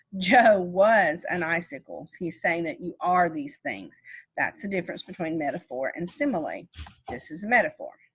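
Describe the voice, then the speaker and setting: A woman at medium pitch talks at a moderate pace with lively intonation, a somewhat breathy voice and big swings in loudness. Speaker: teacher. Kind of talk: lecture.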